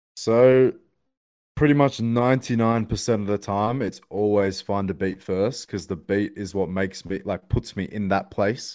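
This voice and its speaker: This man's Australian accent comes through on a very clean recording with a silent background. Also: fairly low pitch for a man, ordinary pitch variation, moderate pace. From Australia, Sydney. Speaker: rapper. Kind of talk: casual chat.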